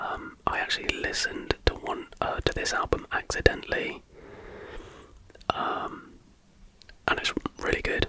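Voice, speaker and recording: A man whispers at a moderate pace over noticeable background noise. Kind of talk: casual ramble to camera. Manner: whispered.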